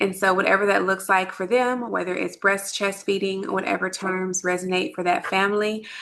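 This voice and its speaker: Speaking in a Texan accent at a medium pitch, a woman keeps a moderate pace and fairly even intonation with hardly any pauses, against noticeable background noise. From Texas, Dallas area. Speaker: lactation consultant. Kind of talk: online workshop presentation.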